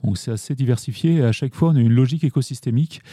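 A man's medium-pitched voice, dark, mellow and somewhat breathy, with ordinary pitch variation at a very fast pace, dry and close with no echo, in a very clean recording with a silent background. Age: 40s. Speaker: founder of an ecological business cooperative. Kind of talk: podcast interview. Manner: hesitant, frequent fillers and restarts.

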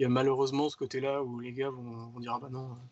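A man speaks at a medium pitch in a flat, monotone delivery. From Paris region, France. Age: 30s. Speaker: motion designer. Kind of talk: casual interview.

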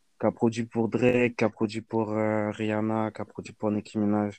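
A man talks at a fairly slow pace in a dry, close sound with no echo. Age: 20s. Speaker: beatmaker. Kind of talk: casual chat, album review.

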